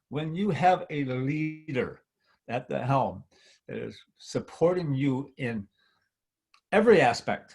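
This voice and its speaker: At a very slow pace with long, frequent pauses, a man talks in a fairly high, somewhat breathy voice with lively intonation. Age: 70s. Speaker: network marketing veteran. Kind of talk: testimony. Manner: animated.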